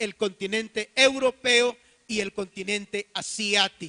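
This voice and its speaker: Raised and projected, a man's voice sits high in pitch with a bright, sharp tone and fairly even intonation. He speaks at a fairly slow pace in a dry, close sound with no echo. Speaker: pastor. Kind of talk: sermon.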